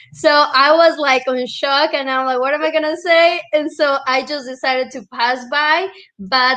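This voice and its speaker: A woman's high, bright, sharp voice in a Colombian accent, at a moderate pace with ordinary pitch variation. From Colombia (Medellin). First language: Spanish. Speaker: real estate and Airbnb entrepreneur. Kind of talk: storytelling in casual interview.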